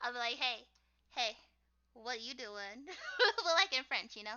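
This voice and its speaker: A woman speaks with an American accent. Her voice is squeaky, with lively intonation. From US, Haitian American family. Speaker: streamer and artist. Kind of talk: casual chat.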